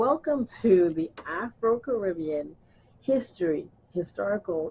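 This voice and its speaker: A woman speaks in a somewhat breathy voice. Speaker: community historian. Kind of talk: interview questions.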